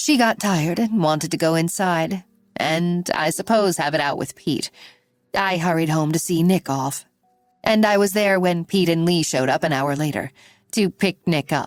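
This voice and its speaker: A husky, put-on character voice at middle pitch moves at a moderate pace. Music plays in the background. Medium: read story.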